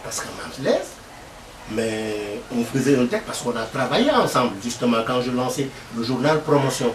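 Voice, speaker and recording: A man's medium-pitched voice at a moderate pace, with audible room echo and noticeable background noise. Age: 70s. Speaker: veteran journalist. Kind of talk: interview. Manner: halting.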